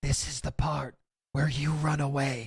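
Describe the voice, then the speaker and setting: Putting on a character voice, a man talks at a moderate pace in a fairly high pitch. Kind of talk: casual comic script read. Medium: virtual streamer. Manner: sardonic, deadpan menace.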